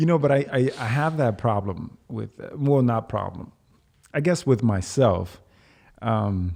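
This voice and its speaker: Man's medium-pitched voice with a dark, mellow tone and a slight Dominican accent, lively intonation at a fairly slow pace, in a very clean recording with a silent background. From Dominican Republic. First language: Spanish. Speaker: navy veteran turned actor. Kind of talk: casual chat.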